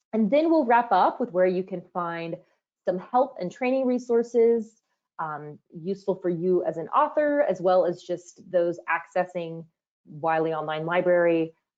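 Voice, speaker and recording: A woman with a plain, everyday voice speaks at a fairly slow pace, medium pitch and lively intonation. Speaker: user training manager presenting a webinar. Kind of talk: webinar presentation. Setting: online webinar.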